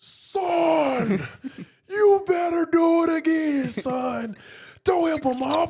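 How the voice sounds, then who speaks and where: An extremely high-pitched put-on character voice, loud and shouting at a very slow pace. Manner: loud, shouting, commanding.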